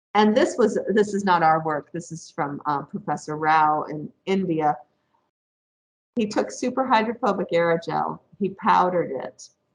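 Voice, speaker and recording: With an upstate New York accent, a woman speaks at a fairly low pitch using lively intonation. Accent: US regional accent (upstate New York). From upstate New York, Rochester area. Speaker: professor. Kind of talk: lecture. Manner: deliberately not too fast.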